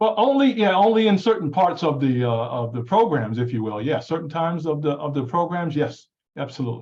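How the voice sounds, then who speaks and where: A man speaks at a fairly quick pace in a somewhat breathy, fairly high voice. His pitch swings very widely. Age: 60s. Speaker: talk show co-host. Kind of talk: panel discussion.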